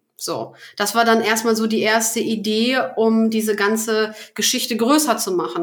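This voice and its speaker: With noticeable background noise, a woman speaks at a moderate pace in a fairly high pitch with monotone, flat intonation. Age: 30s. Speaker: business founder and podcast host. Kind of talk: casual interview chat. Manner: hesitant, many fillers.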